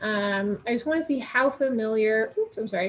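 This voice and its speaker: A woman speaks in a normal speaking voice. Her pitch is fairly high, with ordinary pitch variation. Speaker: advocacy committee chair. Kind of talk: presentation. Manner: many filler words (um, uh).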